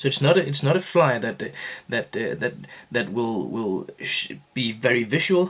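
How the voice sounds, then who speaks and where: With a non-native accent, the speaker talks at a moderate pace using lively intonation. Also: man, medium pitch for a man. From Denmark, Aarhus. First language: Danish. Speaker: fly-tying instructor. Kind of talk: tutorial. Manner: halting, many fillers and repeats.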